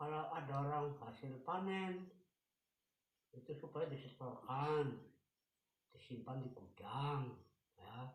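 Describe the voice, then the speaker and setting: Somewhat breathy and fairly high in pitch, a man talks at a very slow pace with ordinary pitch variation and long, frequent pauses, amid audible room echo. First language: Javanese (speaking Indonesian). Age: 80s+. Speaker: elderly interviewee recounting Japanese occupation. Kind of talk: interview, oral history.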